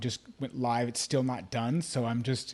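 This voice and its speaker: Against a quiet background, an ordinary speaking voice moves at a moderate pace. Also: man. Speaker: life coach and author. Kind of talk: casual chat. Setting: live video call.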